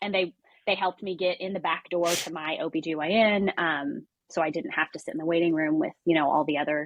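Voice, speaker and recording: With an American accent, a woman speaks very fast at a fairly low pitch, using ordinary pitch variation. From US Midwest. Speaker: author and staff writer. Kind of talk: interview testimony.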